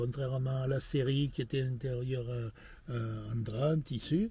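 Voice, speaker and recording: At a fairly slow pace, the somewhat breathy voice carries a dark, mellow tone and ordinary pitch variation. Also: man. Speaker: classic car owner. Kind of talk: interview answer. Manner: passionate, energetic.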